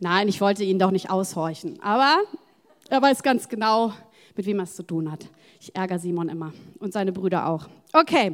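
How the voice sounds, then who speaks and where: A woman at a medium pitch, animated in tone, with lively intonation, big swings in loudness, long and frequent pauses, and a moderate pace. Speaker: preacher. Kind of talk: sermon. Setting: church.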